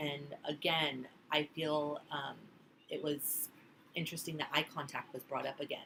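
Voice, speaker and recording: Bright and sharp in tone, a woman's very deep, low voice moves at a moderate pace. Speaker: student giving a class speech. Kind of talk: class presentation speech.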